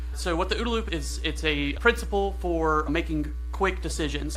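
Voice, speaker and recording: A man with a very deep, low pitch and an American accent, amid noticeable background noise and audible room echo. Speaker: AI engineer giving a conference talk. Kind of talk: conference talk. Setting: stage with audience. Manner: fast; animated.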